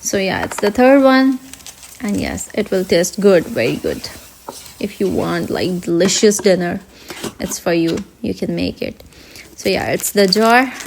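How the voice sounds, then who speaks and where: A woman with a non-native accent, medium pitch and ordinary pitch variation, at a fairly slow pace with long, frequent pauses over noticeable background noise. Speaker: cooking vlogger. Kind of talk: cooking tutorial voiceover. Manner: slow and steady, hesitant.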